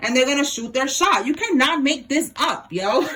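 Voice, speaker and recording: An animated woman speaks at a fairly quick pace in a high, raised, projected voice with lively intonation. Noticeable background noise runs underneath. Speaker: tarot reader. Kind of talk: tarot reading monologue.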